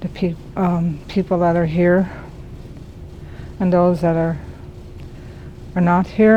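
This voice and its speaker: A woman speaks very slowly in a monotone, flat voice with fairly low pitch, leaving long, frequent pauses amid noticeable background noise. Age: old. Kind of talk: opening prayer. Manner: halting.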